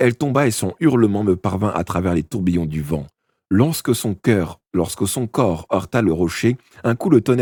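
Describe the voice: With a quiet background, the plain reading aloud has lively intonation.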